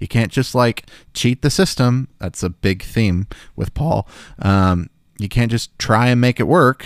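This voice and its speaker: A man with an American accent talks at a fairly slow pace and medium pitch, with lively intonation in a plain, everyday voice. The sound is dry and close, with no echo. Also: very clean recording, silent background. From US South, Memphis, Tennessee. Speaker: podcast host, Bible teacher. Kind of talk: solo Bible study podcast. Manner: casual with many filler words.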